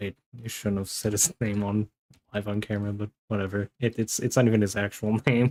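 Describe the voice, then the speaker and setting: A man talks at a fairly quick pace with a fairly low pitch and monotone, flat intonation. The sound is dry and close, with no echo. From US (raised from about age six, born in Montreal). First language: French. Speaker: artist streamer. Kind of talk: casual chat. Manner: halting, many repeated words.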